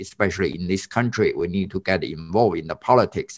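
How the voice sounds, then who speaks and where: A man speaks with a Chinese accent. The background is quiet. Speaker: podcast co-host, community activist. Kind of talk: casual chat. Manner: halting.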